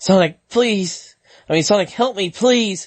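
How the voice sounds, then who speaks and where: In a put-on character voice at a middle pitch, the speaker shouts at a fairly slow pace. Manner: screaming, pleading.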